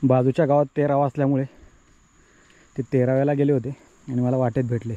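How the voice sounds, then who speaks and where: The voice has a dark, mellow tone with very even loudness and monotone, flat intonation. The sound is dry and close, with no echo. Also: man, medium pitch for a man. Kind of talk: vlog narration to camera.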